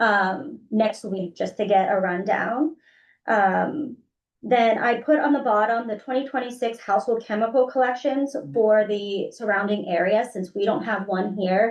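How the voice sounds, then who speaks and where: Speaking at a fairly slow pace in an unremarkable speaking voice, this person has an American accent and ordinary pitch variation. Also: woman, fairly high pitch for a woman. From western Pennsylvania, Beaver County. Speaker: council of governments staff member. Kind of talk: board meeting report.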